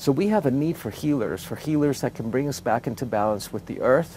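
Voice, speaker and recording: A man talks at a fairly quick pace in a dry recording with no echo and light background noise. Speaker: interviewee, teacher. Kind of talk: interview answer. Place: open country.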